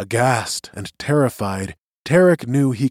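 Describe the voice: Plain reading aloud carries lively intonation against a quiet background.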